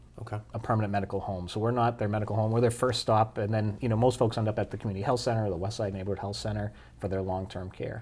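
A somewhat breathy, fairly low male voice, very fast and monotone, with hardly any pauses. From New Hampshire, Manchester. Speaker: city health department director. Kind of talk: interview.

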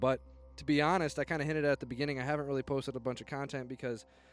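A man with a Midwestern American accent talks while music plays in the background. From northern Indiana. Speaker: hunting podcast host and habitat consultant. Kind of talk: solo podcast monologue.

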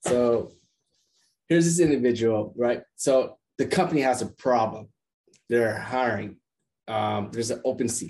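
Speaking at a fairly slow pace with long, frequent pauses, a man uses a medium pitch and ordinary pitch variation. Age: 30s. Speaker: podcast host, sales development strategist. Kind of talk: casual interview chat. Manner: hesitant with frequent fillers.

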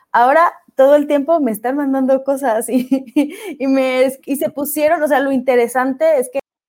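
Speaking at a moderate pace, a woman keeps her high voice in fairly even intonation. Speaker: podcast host and speaker. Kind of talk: casual chat.

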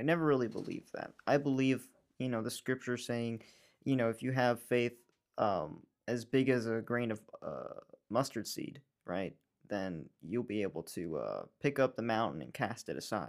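A man with an American accent has a plain, everyday voice, speaking at a moderate pace with medium pitch and ordinary pitch variation. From New York. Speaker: Bible school friend of the host. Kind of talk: casual chat.

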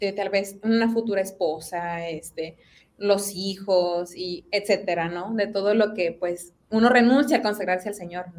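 A woman speaks at a medium pitch and a fairly slow pace. Her intonation stays fairly even while her loudness swings widely. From Mexico, Monterrey (Apodaca). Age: 20s. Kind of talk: testimony.

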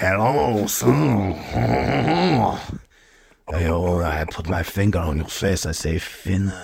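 Using a put-on character voice, a man speaks at a very slow pace and a very deep, low pitch, with long, frequent pauses. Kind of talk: paternal, addressing a son.

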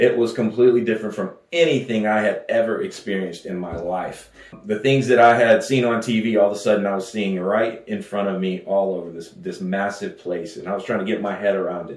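A man with a Texan accent talks at a fairly quick pace, his fairly low pitch carrying ordinary pitch variation over noticeable background noise. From West Texas. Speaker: pastor. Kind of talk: sermon. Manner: halting.

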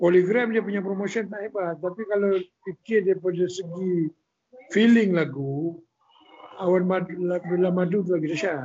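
A high-pitched man's voice with ordinary pitch variation, at a moderate pace. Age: middle-aged. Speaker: songwriter. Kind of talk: casual chat.

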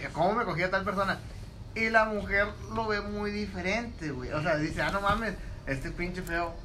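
Over noticeable background noise and audible room echo, a man with a high voice speaks in a raised, projected way. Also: ordinary pitch variation, moderate pace. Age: 20s. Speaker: podcast co-host. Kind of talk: casual chat.

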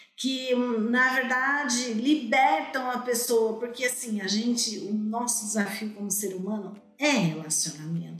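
A woman speaks fairly slowly at a fairly high pitch. The audio has audible room echo and noticeable background noise. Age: 50s. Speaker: therapist and author. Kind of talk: interview.

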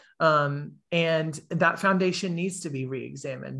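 A man with a Southern US accent, a high pitch and a bright, sharp tone, at a fairly slow pace with fairly even intonation. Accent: Southern US (Georgia). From US South, Georgia. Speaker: gap year program director. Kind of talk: casual interview. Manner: halting, many fillers.

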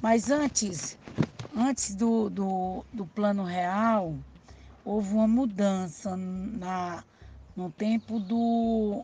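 A woman speaks at a very slow pace and medium pitch, with ordinary pitch variation and long, frequent pauses. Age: 50s. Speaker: grandmother guest. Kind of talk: personal recollection monologue. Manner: halting, with repetitions and self-corrections.

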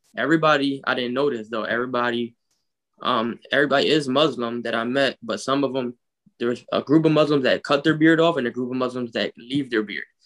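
A man with a Philadelphia accent talks at a very fast pace with fairly even intonation. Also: medium pitch for a man. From North Philadelphia. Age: 20s. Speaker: travel enthusiast. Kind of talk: casual chat.

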